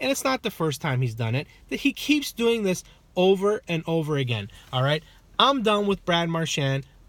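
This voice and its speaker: Loud and high-pitched, a man's voice comes through. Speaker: hockey vlogger. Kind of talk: rant. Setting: in a car.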